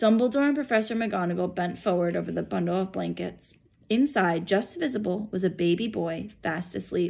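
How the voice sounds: Just a natural reading voice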